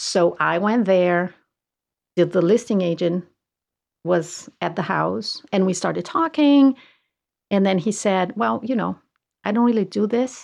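Speaking in a Portuguese accent at a medium pitch, a woman takes a fairly slow pace with long, frequent pauses in a very clean recording with a silent background. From southern Brazil. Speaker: realtor. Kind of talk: casual chat.

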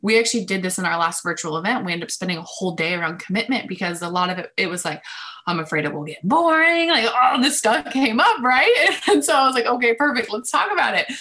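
Amid noticeable background noise, a woman races along at a very fast pace with hardly any pauses, her fairly high pitch moving in very wide swings. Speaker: love coach. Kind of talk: interview chat.

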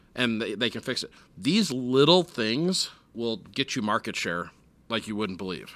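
On a very clean recording with a silent background, a man with an American accent and an ordinary speaking voice talks at a moderate pace and medium pitch with lively intonation. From US Midwest, Minneapolis. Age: 40s. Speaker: internet company owner. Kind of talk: interview. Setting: in-person, his home.

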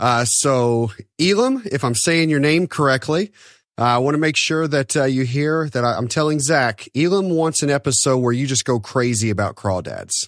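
A man with a plain, everyday voice speaks in a fairly high pitch at a moderate pace, with ordinary pitch variation and very even loudness. The recording is very clean and the background silent. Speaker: podcast co-host. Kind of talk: casual podcast interview.

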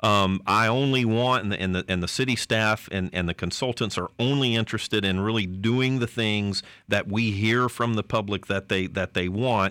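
Bright and sharp in tone, a man with a Southern US accent speaks at a fairly low pitch and moderate pace with hardly any pauses, very even loudness and fairly even intonation, on a very clean recording with a silent background. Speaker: city manager.

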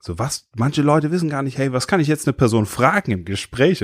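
With an unremarkable speaking voice, a man talks at a fairly quick pace with lively intonation, in a very clean recording with a silent background and a dry, close sound with no echo. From Germany, Limburg (Hesse). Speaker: pastor. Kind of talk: casual chat.

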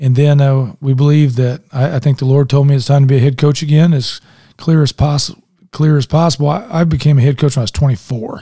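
Speaking very fast with a Midwestern American accent, a man has a fairly high pitch, a dark, mellow, somewhat breathy tone, fairly even intonation and very even loudness. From Indianapolis, Indiana. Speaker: mayoral candidate, former football coach. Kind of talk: interview. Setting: studio.

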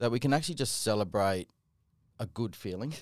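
The recording is very clean and the background is silent. A man talks in an Australian accent. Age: 40s. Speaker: podcast co-host, flooring company manager. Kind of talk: casual chat.

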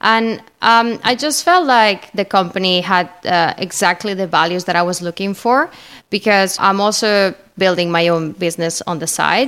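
The speaker has a Spanish accent and keeps a moderate pace with ordinary pitch variation. The recording is very clean, with a silent background. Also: woman, medium pitch for a woman. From Spain. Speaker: marketing manager. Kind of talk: interview.

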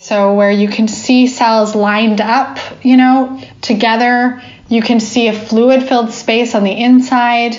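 Noticeable background noise and audible room echo surround a very slow, flat monotone delivery at very even loudness. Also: woman, fairly high pitch for a woman. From United States. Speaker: biologist. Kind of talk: interview.

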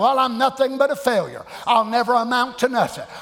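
Over noticeable background noise, a man with a Southern US accent talks at an extremely high pitch. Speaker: pastor. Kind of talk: sermon; fiery Pentecostal-style preaching, coaxing congregation responses. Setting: church. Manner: animated call-and-response, acts out voices of discouraged believers; folksy, repetitive cadence with colloquial grammar.

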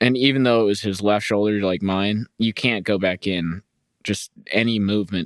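A man talks in a normal speaking voice at a fairly low pitch. His pace is moderate. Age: 30s. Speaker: podcast host. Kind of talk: casual solo podcast chat. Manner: casual, rambling, humorous.

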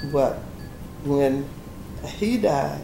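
A woman talks with an American accent, her pitch making very wide swings. Noticeable background noise is present. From US South, Louisiana (East Baton Rouge Parish). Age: 70s. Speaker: retiree recounting family land history. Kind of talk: interview, personal storytelling.

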